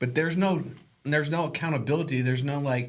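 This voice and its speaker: A fairly high-pitched man with an American accent speaks, with audible room echo. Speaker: realtor and podcast host. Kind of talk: casual chat. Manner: animated.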